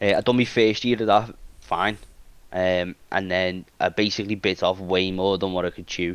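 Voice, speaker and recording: Speaking with a British accent, a man uses a very deep, low pitch and a monotone, flat intonation at a moderate pace. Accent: regional British. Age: 20s. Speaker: IT technician and talent manager. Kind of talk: casual podcast interview. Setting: live-streamed online podcast. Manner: halting, many restarts and fillers.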